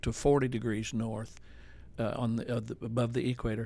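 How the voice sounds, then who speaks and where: The speaker is a man with a medium pitch. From Arkansas, US South (Jonesboro). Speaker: pastor. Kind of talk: casual chat.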